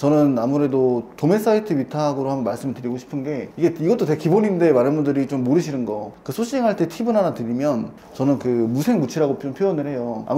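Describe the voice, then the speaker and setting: Speech at a very fast pace with lively intonation and hardly any pauses runs over noticeable background noise. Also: man, fairly high pitch for a man. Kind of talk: professional, explanatory. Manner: calm, steady, even.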